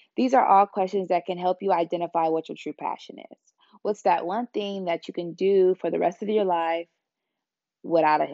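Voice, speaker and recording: A woman speaks with a plain, everyday voice at a medium pitch and a moderate pace. Her intonation is fairly even, with big swings in loudness. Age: 20s. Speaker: podcast host. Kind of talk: casual monologue; motivational talk.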